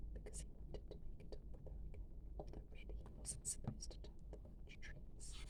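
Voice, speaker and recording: A woman whispers while noticeable background noise carries on. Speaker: ASMR storyteller. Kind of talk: soft bedtime story reading from a children's picture book. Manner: soft-spoken, whispering.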